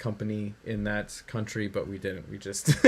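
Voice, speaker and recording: A man with a fairly low pitch speaks at a moderate pace in a monotone, flat intonation, with noticeable background noise. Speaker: programmer streaming game development. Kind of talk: live coding stream. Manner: hesitant, many fillers.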